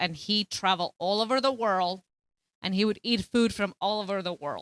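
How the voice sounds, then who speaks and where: Speaking with a Spanish accent, a woman uses a bright, sharp tone at a moderate pace. The sound is dry and close with no echo, on a very clean recording with a silent background. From Colombia. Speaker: teacher. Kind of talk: casual chat.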